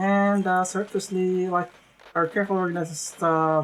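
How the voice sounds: Fairly even intonation from a natural reading voice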